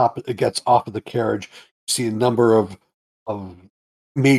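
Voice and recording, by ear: Reading aloud in a natural voice, the speaker keeps the intonation fairly even while the background stays quiet.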